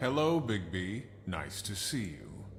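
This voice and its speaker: Using a put-on character voice, a man speaks fairly slowly and fairly low over clear background noise. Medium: video game. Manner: rhyming, cryptic.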